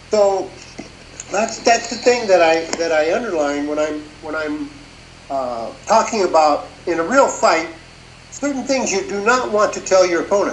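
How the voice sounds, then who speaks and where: Amid light background noise and audible room echo, a man speaks at a moderate pace in a high voice, with very wide pitch swings and long, frequent pauses. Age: 70s. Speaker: martial arts instructor. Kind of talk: interview. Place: home room. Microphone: video call.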